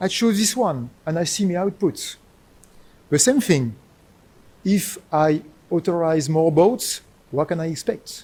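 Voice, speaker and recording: With a strong French accent, a man talks in a high, dark, mellow voice at a fairly slow pace, his lively intonation broken by long, frequent pauses. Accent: thick French. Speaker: professor. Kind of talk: lecture.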